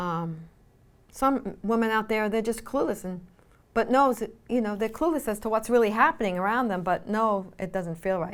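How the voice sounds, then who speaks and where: In a very clean recording with a silent background, a woman with a fairly high pitch speaks at a moderate pace with ordinary pitch variation. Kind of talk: faith-based teaching talk. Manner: conversational with frequent fillers.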